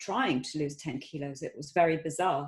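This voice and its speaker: With an ordinary speaking voice, a woman speaks at a moderate pace with ordinary pitch variation. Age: middle-aged. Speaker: student testimonial. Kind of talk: testimony.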